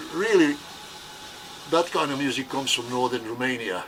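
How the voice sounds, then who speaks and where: Moderate pace against noticeable background noise. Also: man. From Yugoslavia. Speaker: musician. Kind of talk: casual banter.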